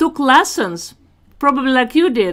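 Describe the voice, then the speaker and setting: In a very clean recording with a silent background, a woman with a Russian accent speaks in a high voice with lively intonation. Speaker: talk show host. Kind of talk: interview.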